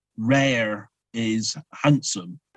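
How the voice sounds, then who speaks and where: Speaking with a Cornish accent, a man uses a medium pitch. The sound is dry and close, with no echo. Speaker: poet, cultural leader.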